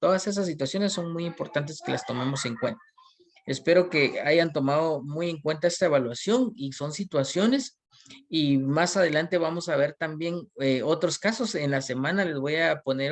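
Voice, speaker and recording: Here a man's fairly high voice carries lively intonation. His pace is moderate. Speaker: university lecturer. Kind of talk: online class lecture. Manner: hesitant, many fillers.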